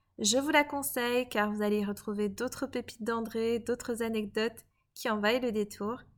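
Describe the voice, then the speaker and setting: A woman with an unremarkable speaking voice, fairly high in pitch with ordinary variation, at a fairly slow pace on a very clean recording with a silent background. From Belgium, Liège. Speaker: podcast host and coach. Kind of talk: podcast narration.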